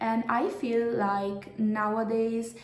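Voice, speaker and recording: A woman's medium-pitched voice with a non-native accent and monotone, flat intonation, amid audible room echo and noticeable background noise. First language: not English. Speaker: YouTuber, commentary creator. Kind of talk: video commentary.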